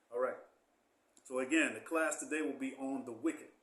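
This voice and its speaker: Amid audible room echo, a man speaks at a fairly quick pace. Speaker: Bible teacher. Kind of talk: Bible class.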